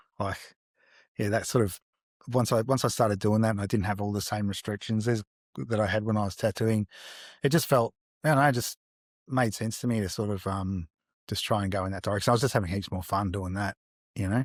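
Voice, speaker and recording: With an Australian accent, a fairly low-voiced man talks at a very fast pace, broken by long, frequent pauses, in a dry, close sound with no echo and a very clean recording over a silent background. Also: ordinary pitch variation. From Australia, Melbourne south-eastern suburbs. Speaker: artist. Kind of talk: interview. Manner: halting, lots of fillers.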